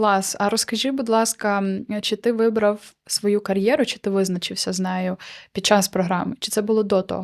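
A woman has a plain, everyday voice at a medium pitch and moderate pace, captured in a very clean recording with a silent background and a dry, close sound with no echo. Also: fairly even intonation. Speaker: podcast host. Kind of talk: casual chat.

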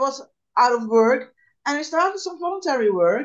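With a Dutch accent, a woman speaks at a fairly quick pace with very wide pitch swings against a quiet background. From Netherlands. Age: 60s. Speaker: unemployed jobseeker; interviewee. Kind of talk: interview; interview answer. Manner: halting. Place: home room. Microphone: video call.

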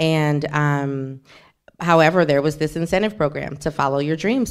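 Over a silent background in a very clean recording, a woman speaks at a very slow pace. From US South, New Orleans. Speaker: novelist. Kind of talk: author talk, bookshop event. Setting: bookshop event with audience.

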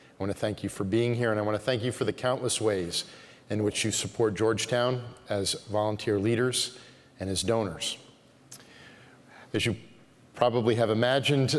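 A man talks at a moderate pace with fairly even intonation. His speech has long, frequent pauses. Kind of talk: formal welcome speech. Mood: warm, smiling, light humor. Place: church. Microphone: podium.

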